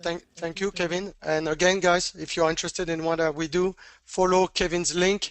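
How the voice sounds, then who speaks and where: A high-pitched man with a French accent, moderate pace and monotone, flat intonation. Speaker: trading educator. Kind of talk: webinar Q&A. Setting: online webinar. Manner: halting.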